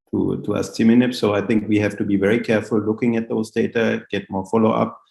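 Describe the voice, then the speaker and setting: A man with vocal fry talks at a fairly quick pace in a fairly low pitch with fairly even intonation. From Austria. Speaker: professor of hematology. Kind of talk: Q&A discussion.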